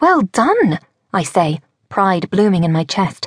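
A woman's somewhat breathy, medium-pitched voice at a fairly slow pace, dry and close with no echo. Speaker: audiobook narrator. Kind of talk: audiobook narration, dramatic first-person fiction. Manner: animated, breathless and urgent in action scenes, with character voices.

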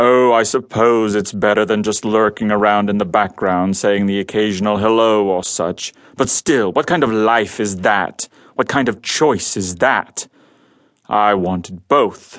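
A man puts on a character voice with a calm, smug tone, rumbling and fairly low in pitch. He keeps a moderate pace against a quiet background. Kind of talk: noir radio drama. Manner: calm, smug, menacing.

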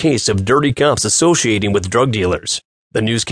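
An unforced reading voice carries the clip. The background is quiet.

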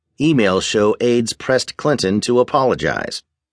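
Against a quiet background, a man with an unremarkable speaking voice talks at a moderate pace and medium pitch, his intonation lively and the sound dry and close with no echo. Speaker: newsreader. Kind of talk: news reading. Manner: formal; steady, brisk headline delivery.

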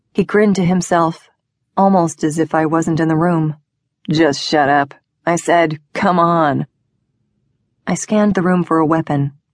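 Her fairly low voice carries a menacing tone as this woman speaks at a fairly slow pace with fairly even intonation, very even loudness, and long, frequent pauses. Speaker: audiobook narrator. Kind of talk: dramatic first-person audiobook narration of a thriller, with tense dialogue.

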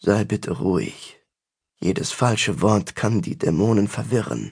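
Using a put-on character voice, a man with a fairly low pitch talks at a moderate pace with lively intonation. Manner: tense, restrained, weary.

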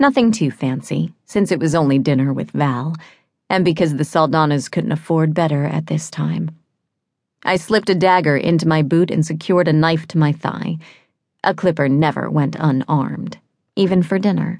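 Her voice is very deep and low for a woman, with vocal fry and ordinary pitch variation. She keeps a moderate pace at very even loudness. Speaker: audiobook narrator. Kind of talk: audiobook narration, dramatic first-person fantasy reading.

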